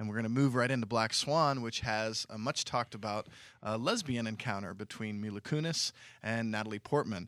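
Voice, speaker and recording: Recorded very cleanly against a silent background, a man talks at a moderate pace at a medium pitch with ordinary pitch variation in a normal speaking voice. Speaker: film podcast co-host. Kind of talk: casual film discussion.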